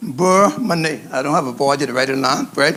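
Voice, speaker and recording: With lively intonation and a moderate pace, a man talks against noticeable background noise. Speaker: chef instructor. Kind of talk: cooking demonstration.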